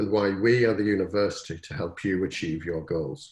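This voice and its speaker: In a British accent, a man with a fairly low, somewhat breathy voice talks at a moderate pace with lively intonation. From Britain. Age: old. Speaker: university provost. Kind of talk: formal welcome address. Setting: webinar. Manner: formal.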